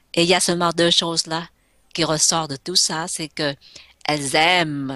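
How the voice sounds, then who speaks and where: A woman's very deep, low voice with a bright, sharp tone over a quiet background. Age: 60s. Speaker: entrepreneur and inspirational speaker. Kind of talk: radio interview. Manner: hesitant, many fillers.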